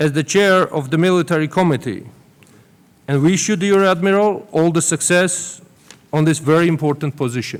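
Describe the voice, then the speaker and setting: A man with a Georgian accent, high-pitched, at a moderate pace, with ordinary pitch variation and very even loudness. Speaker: government minister. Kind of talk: formal welcome speech. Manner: formal.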